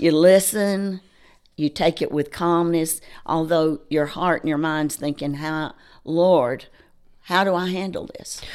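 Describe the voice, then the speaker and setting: At a fairly slow pace, a woman with a Southern US accent speaks with a fairly low pitch and fairly even intonation. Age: 70s. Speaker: charity co-founder. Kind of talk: interview. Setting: studio.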